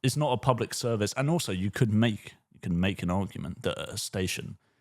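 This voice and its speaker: A man mumbles at a fairly quick pace. His intonation is lively. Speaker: podcast co-host. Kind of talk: casual chat. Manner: mumbling.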